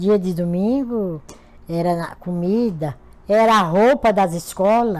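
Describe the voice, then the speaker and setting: This woman has a normal speaking voice. Her pitch sits in the medium range. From Pernambuco, Brazil. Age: 60s. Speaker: retired domestic worker. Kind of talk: interview.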